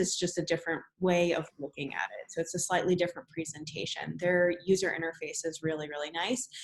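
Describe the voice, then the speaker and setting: Speaking with a New Jersey accent, a woman keeps a fairly low pitch and fairly even intonation. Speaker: business workshop presenter. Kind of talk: webinar presentation.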